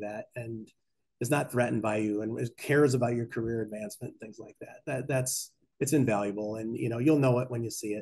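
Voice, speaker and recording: The voice is somewhat breathy, moving at a fairly quick pace with fairly even intonation. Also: man. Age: 50s. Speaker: bank executive and conference speaker. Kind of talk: conference talk. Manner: fast.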